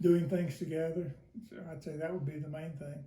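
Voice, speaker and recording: This man has a fairly high pitch and a dark, mellow tone. He speaks at a fairly slow pace with fairly even intonation, and there is audible room echo. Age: 80s+. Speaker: interviewee. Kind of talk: interview. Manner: hesitant, many fillers.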